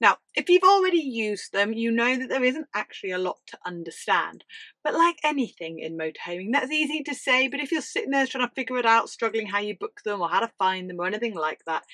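Over a quiet background, a woman talks very fast with hardly any pauses and very wide pitch swings. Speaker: travel channel host. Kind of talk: tutorial. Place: home room.

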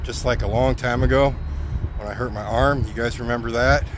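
Recorded dry with no echo, a man talks at a fairly quick pace over noticeable background noise. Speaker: truck driver vlogger. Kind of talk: casual vlog chat. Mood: joking, tongue-in-cheek storytelling. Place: street. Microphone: phone near.

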